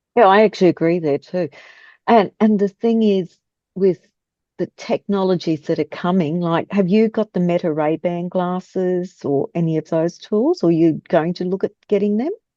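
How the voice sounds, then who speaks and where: A woman's voice, medium-pitched and dark and mellow in tone, with ordinary pitch variation at a moderate pace, dry and close with no echo against a quiet background. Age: 60s. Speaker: podcast host. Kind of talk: casual interview chat.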